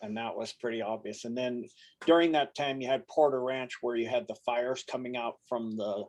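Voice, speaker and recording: A man with an ordinary speaking voice, medium pitch and ordinary pitch variation. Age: 60s. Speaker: conspiracy commentator. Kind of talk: casual chat.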